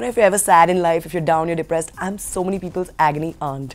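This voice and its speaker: Words come from a woman at a very fast pace. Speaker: actress interviewee. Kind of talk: interview answer. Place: hall.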